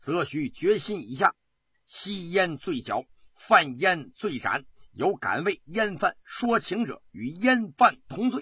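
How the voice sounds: A man's put-on character voice, high-pitched and slow, bright and sharp with a husky, rough edge and big pitch swings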